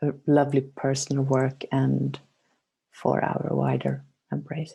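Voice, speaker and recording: The speaker has a Swedish accent. The pace is very slow. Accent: mild Swedish. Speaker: meditation guide. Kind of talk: casual chat.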